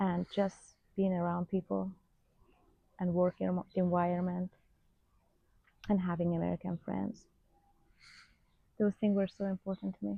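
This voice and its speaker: Speaking with a Persian accent, a woman uses a fairly low pitch and a dark, mellow tone. Her moderate pace is broken by long, frequent pauses, her intonation monotone and flat, the sound dry and close with no echo. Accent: Persian (Iranian) accent in English. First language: Farsi. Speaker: vlogger, former hairstylist. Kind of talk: casual unscripted vlog chat. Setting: at home in front of a camera.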